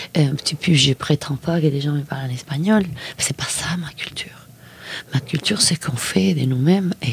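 A woman with a Spanish accent and very deep, low pitch, ordinary pitch variation and a moderate pace, over noticeable background noise. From Argentina, Mendoza. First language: Spanish (speaking French). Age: 50s. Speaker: filmmaker. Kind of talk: interview. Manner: halting, with frequent repetitions.

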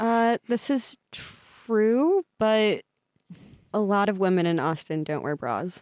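A woman with an American accent speaks at a very slow pace in a fairly high pitch with lively intonation. The sound is dry and close, with no echo. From US Midwest. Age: 20s. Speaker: podcast guest. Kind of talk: casual chat. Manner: mumbling.

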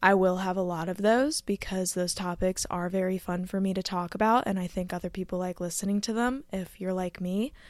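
A woman with an American accent talks in a normal speaking voice at a medium pitch and a fairly quick pace, with hardly any pauses. Her intonation is fairly even, and the recording is very clean with a silent background. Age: 20s. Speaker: podcaster. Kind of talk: solo monologue podcast. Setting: recording at home in bed.

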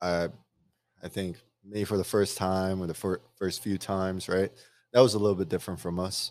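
On a very clean recording with a silent background, a man speaks very deep and low at a moderate pace. He holds a flat monotone and leaves long, frequent pauses. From outside the US. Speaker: podcast co-host. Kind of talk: casual chat. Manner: loud. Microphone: new microphone.

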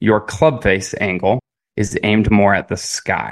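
A man with an ordinary speaking voice talks at a fairly slow pace and fairly low pitch with ordinary pitch variation, in a dry, close sound with no echo and a quiet background. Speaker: golf coach. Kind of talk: casual chat.

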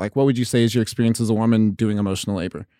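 A man at medium pitch with an American accent, in a very clean recording with a silent background. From southeastern Oregon. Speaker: radio podcast host and comedian. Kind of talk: casual chat.

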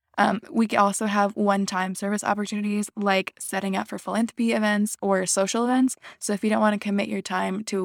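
Talking at a fairly quick pace, a woman keeps her intonation monotone and flat. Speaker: student organization officer, podcast host. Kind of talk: casual informational podcast.

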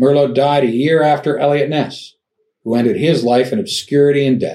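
Dark, mellow male voice at medium pitch, moderate pace and ordinary pitch variation. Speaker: true crime podcast host. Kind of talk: true-crime narration. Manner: measured, grave storytelling tone.

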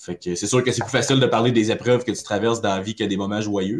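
Very fast speech from a man, fairly low in pitch and fairly even in intonation. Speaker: metal band vocalist. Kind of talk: casual interview.

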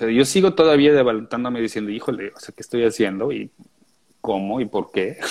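A man with a plain, everyday voice talks at a fairly quick pace and a medium pitch. His loudness swings widely, while his pitch moves in an ordinary way. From Austria (Vienna), later Mexico. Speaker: composer and musician. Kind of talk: interview.

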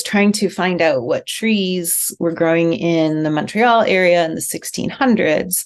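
A woman speaks at a fairly slow pace with lively intonation. Noticeable background noise runs underneath. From rural Alberta, Canada. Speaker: writer and creative writing professor. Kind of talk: interview conversation.

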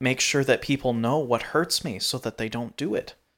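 The voice is a plain, everyday voice. Its pitch varies in an ordinary way. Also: man. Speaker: podcast co-host. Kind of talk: casual chat.

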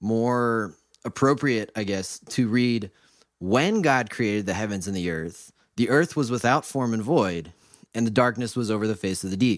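A man with an American accent speaks in a medium pitch with ordinary pitch variation on a very clean recording with a silent background. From US Midwest (Mansfield, Ohio). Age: 20s. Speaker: college student, guest co-host. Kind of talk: casual chat.

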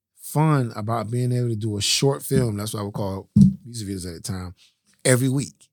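A man with an American accent has a normal speaking voice, a medium pitch, ordinary pitch variation and a fairly quick pace. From Miami, Florida (West Perrine). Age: 40s. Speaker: film and music video director. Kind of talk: interview testimony.

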